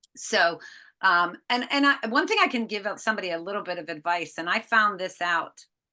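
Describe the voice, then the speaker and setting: Speaking at a moderate pace with an American accent, a woman has medium pitch and lively intonation. Her tone is bright and sharp, and the background is quiet. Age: 60s. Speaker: author and inventor. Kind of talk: podcast interview. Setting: video call.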